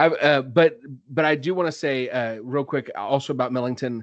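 A man of medium pitch in an enthusiastic tone, at a moderate pace with ordinary pitch variation, against a quiet background. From Texas, Dallas suburbs. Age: 30s. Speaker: podcast host and school librarian. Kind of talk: casual interview chat. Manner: halting.

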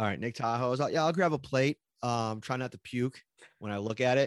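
In a western New York accent, a man talks at a moderate pace and medium pitch with ordinary pitch variation, recorded dry and close with no echo. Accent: western New York (Inland North). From Buffalo, western New York. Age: 30s. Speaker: sports beat reporter. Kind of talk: casual interview chat. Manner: casual, filler-heavy.

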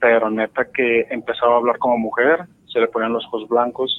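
Here a man speaks at a medium pitch. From Mexico, Guadalajara. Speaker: caller. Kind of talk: phone call storytelling.

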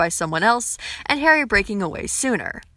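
A woman's bright, sharp tone. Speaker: book and fanfiction reviewer. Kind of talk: review monologue.

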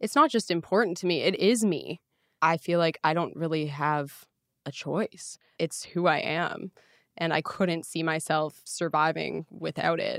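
A woman with a Canadian accent and a normal speaking voice, fairly low in pitch, with ordinary pitch variation at a fairly slow pace, in a dry, close sound with no echo on a very clean recording with a silent background. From northern Ontario, Canada. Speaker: hard rock singer. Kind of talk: casual chat. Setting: host's condo.

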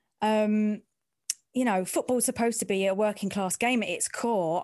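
Speaking in an East End London accent over a quiet background, a woman keeps a moderate pace with a medium pitch and ordinary pitch variation. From East End of London. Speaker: sports journalist and presenter. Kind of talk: casual interview chat about career.

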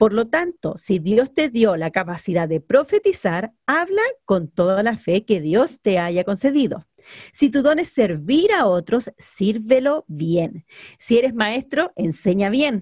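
Speaking very slowly, a woman with a fairly high, somewhat breathy voice makes very wide pitch swings in a dry, close sound with no echo. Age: 30s. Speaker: podcast co-host. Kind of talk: casual chat.

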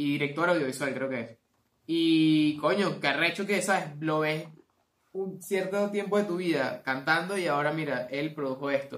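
A man with a Venezuelan accent, fairly high in pitch, at a moderate pace. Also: ordinary pitch variation. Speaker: podcast host. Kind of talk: casual chat.

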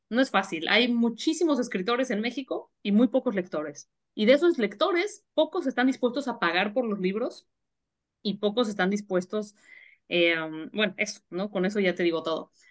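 A woman with an unremarkable speaking voice talks at a moderate pace in a fairly high pitch. The background is quiet. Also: lively intonation. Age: 40s. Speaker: writer and editorial advisor. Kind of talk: interview.

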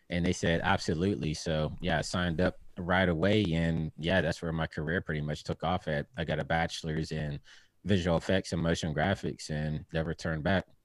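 A man with an American accent speaks in a very deep, low pitch and a monotone, flat intonation on a very clean recording with a silent background and a dry, close sound with no echo. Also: fairly quick pace. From Pittsburgh, Pennsylvania, US. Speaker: motion graphics artist. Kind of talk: casual interview.

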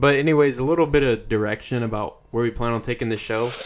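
A man's ordinary speaking voice with an American accent, medium pitch, ordinary pitch variation and a fairly quick pace. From Texas. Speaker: podcast co-host. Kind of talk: casual chat. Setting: studio.

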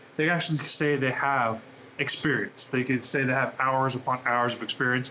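A man with an American accent speaks with fairly even intonation over noticeable background noise. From Southern California, US. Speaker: university esports program staff. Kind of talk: guided tour; interview. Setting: esports arena.

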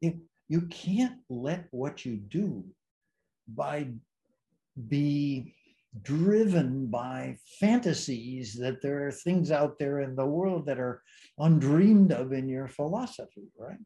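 A somewhat breathy man speaks with a dark, mellow tone at a fairly high pitch. His intonation is lively, his pace very slow, with long, frequent pauses. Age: 80s+. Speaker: emeritus psychology professor. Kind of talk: long-form interview. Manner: hesitant, many fillers.

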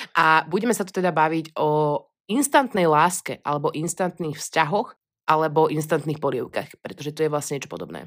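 A woman with a western Slovak accent speaks at a fairly quick pace in a very deep, low pitch with ordinary pitch variation, on a very clean recording with a silent background. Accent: hard-sounding western Slovak speech. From western Slovakia, Pezinok. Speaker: podcast co-host. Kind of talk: casual chat. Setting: recording together in person.

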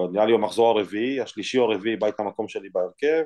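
A man's dark, mellow tone with ordinary pitch variation, against a quiet background. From Israel (immigrated from Ukraine as a baby). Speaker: professional football goalkeeper. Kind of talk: interview.

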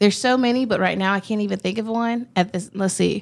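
In a Southern US accent, a woman speaks. The recording is very clean, with a silent background. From US South, Augusta Georgia. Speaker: student intern, co-host. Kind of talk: casual chat. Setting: studio.

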